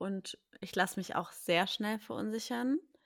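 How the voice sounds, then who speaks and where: A woman with an unremarkable speaking voice talks at a fairly slow pace and medium pitch with ordinary pitch variation, on a very clean recording with a silent background. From Berlin. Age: 20s. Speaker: podcast host, café owner, mother. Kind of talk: casual chat.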